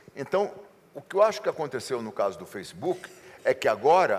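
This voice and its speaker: With vocal fry and very wide pitch swings, a man talks at a fairly quick pace. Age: 60s. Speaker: advertising executive. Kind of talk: interview. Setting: seminar.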